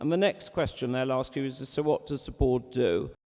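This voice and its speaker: This man has a fairly high pitch, a dark, mellow tone, and ordinary pitch variation. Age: 60s. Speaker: chair of a community representative body. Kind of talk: formal speech. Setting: meeting hall with audience, microphones, live-streamed.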